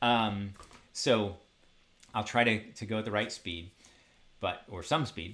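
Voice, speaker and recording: A man with a fairly low voice and ordinary pitch variation speaks with big swings in loudness and long, frequent pauses. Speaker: university lecturer. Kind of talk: lecture. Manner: fast; animated.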